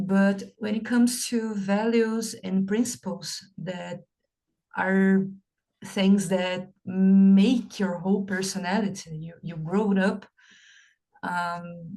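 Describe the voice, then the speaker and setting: A woman speaks very slowly in a Portuguese accent, her medium-pitched voice dark, mellow and somewhat breathy. Her intonation stays fairly even. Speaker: English learner. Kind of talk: casual chat.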